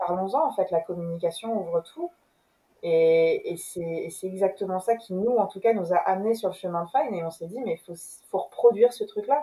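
This woman has a plain, everyday voice, medium in pitch, with ordinary pitch variation. She moves at a moderate pace, and her loudness swings widely. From France, Rouen. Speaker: entrepreneur. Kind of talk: interview.

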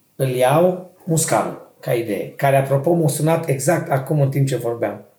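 There is audible room echo as a man with a fairly high pitch speaks with ordinary pitch variation. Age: 40s. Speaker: podcast co-host. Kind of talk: casual chat.

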